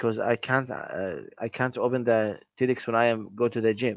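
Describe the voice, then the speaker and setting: A man speaks at a medium pitch with fairly even intonation. The sound is dry and close, with no echo. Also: quiet background. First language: not English. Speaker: English language student. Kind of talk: language lesson conversation. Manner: halting.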